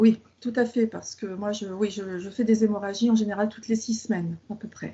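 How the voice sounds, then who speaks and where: Somewhat breathy and monotone, the voice moves at a moderate pace with big swings in loudness. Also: woman, fairly high pitch for a woman. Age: 50s. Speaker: patient. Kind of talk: interview. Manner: halting.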